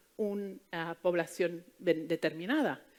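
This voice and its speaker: A woman with an Italian accent speaks at a fairly slow pace with ordinary pitch variation, in a very clean recording with a silent background. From Italy. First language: Italian (speaking Spanish). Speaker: fertility doctor. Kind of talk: conference talk. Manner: hesitant, many fillers.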